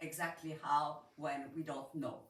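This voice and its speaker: The speaker talks at a fairly slow pace in a French accent. The voice is somewhat breathy, with audible room echo. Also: woman. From Switzerland. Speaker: audience member asking a question. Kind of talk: audience question.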